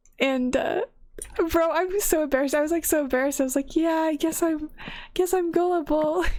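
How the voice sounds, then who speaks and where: A woman with an extremely high pitch mumbles in a relaxed tone at a fairly quick pace, keeping her loudness very even and her pitch variation ordinary. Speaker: gaming content creator. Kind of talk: casual chat. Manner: mumbling; casual, relaxed.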